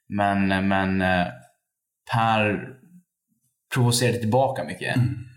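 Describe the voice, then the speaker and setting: In a room with audible echo, a man speaks at a very slow pace. His pitch is fairly low, with ordinary pitch variation. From Sweden, Borlänge (Dalarna). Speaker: activist. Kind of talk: casual interview. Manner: halting.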